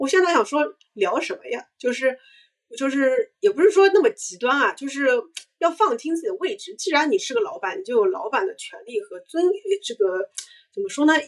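Her pitch extremely high, a woman talks at a moderate pace with very wide pitch swings and big swings in loudness. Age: 30s. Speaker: brand marketer and startup founder. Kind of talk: casual interview chat.

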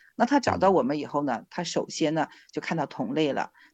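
The delivery is fairly quick with very wide pitch swings, recorded dry and close with no echo against a quiet background. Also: woman. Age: 50s. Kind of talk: interview testimony.

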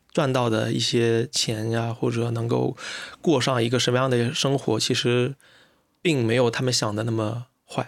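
With monotone, flat intonation, a man speaks at medium pitch. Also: moderate pace. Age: 30s. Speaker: podcast host. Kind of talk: casual chat. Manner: hesitant, many fillers.

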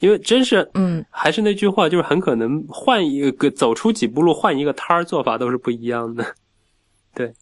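A man speaks at a fairly high pitch with very wide pitch swings. The pace is moderate. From Wuxi, Jiangnan, China. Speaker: food writer. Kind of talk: casual chat.

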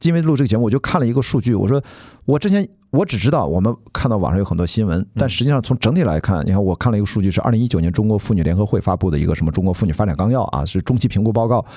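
A dark, mellow tone at a very fast pace. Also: man, fairly low pitch for a man, lively intonation. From Shandong, China. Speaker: podcast host. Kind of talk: casual chat.

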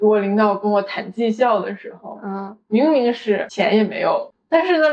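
A woman's pitch swings very widely as she speaks. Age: 20s. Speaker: podcast co-host. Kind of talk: casual chat.

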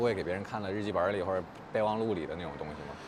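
Speaking very fast, a man is heard amid noticeable background noise and audible room echo. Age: 30s. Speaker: podcast host. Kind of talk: casual chat. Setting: outdoors.

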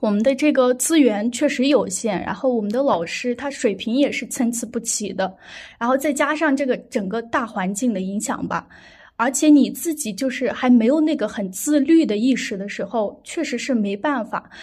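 This woman's voice sits at a high pitch with ordinary pitch variation. She talks at a moderate pace. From Xinjiang, Ili (Kazakh). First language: Kazakh (speaking Chinese). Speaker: medical student. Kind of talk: casual interview chat. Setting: online remote recording.

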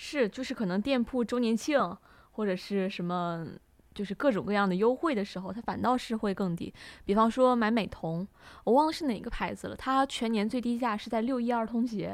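At a moderate pace, a woman with a normal speaking voice and a fairly high pitch talks with ordinary pitch variation in a very clean recording with a silent background. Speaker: student podcast co-host. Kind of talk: casual chat.

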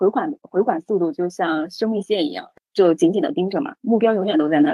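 Here a woman speaks very fast. Her pitch is medium. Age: 30s. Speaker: HR professional and former headhunter. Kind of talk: casual interview. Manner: frequent hesitation fillers.

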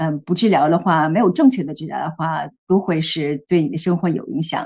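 At a moderate pace, a woman talks with lively intonation and a fairly low pitch. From Beijing, China. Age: 40s. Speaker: healthcare worker sharing menopause experience. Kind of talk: interview testimony. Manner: hesitant, many fillers.

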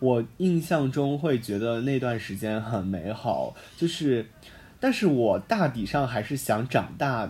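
A man's somewhat breathy voice at medium pitch, with lively intonation and a fairly slow pace. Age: 20s. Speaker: university student podcast host. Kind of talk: casual chat. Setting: campus broadcast room.

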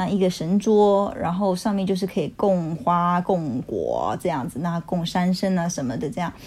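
Over noticeable background noise, a woman with a fairly low pitch talks at a moderate pace with hardly any pauses. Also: ordinary pitch variation. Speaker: educator. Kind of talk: casual chat.

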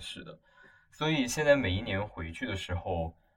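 Lively intonation marks a man's somewhat breathy voice. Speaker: podcast co-host, university student. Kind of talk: casual chat.

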